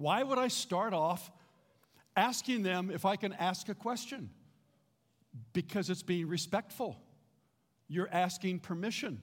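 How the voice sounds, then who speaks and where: A man speaks fairly slowly at a high pitch, with long, frequent pauses and an animated tone. The recording is very clean, and the background is silent. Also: ordinary pitch variation. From US West Coast, Los Angeles. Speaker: pastor. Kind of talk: sermon.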